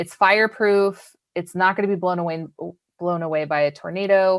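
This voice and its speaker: A woman with a fairly low pitch uses a plain, everyday voice with ordinary pitch variation. She keeps a moderate pace in a very clean recording with a silent background. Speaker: bank financial literacy educator. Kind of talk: educational presentation. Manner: casual, frequent um fillers.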